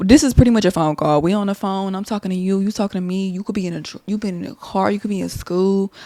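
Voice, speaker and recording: In an American accent, a woman speaks very fast with hardly any pauses, her medium-pitched voice dark and mellow with ordinary pitch variation. Her loudness swings widely on a very clean recording with a silent background. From Texas, Dallas-Fort Worth area. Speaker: podcast host. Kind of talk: casual monologue. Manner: rambling, conversational.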